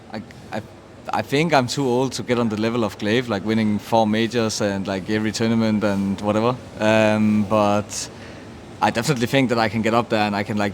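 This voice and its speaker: A man with a Danish accent speaks at a fairly quick pace, his pitch fairly low. His intonation stays fairly even, and there is noticeable background noise. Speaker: esports team captain. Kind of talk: interview.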